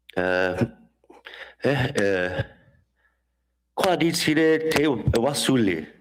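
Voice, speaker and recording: A man with lively intonation, plus audible room echo. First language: Dene (Denesuline). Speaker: conference speaker and drummer. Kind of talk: conference talk. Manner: halting, many fillers.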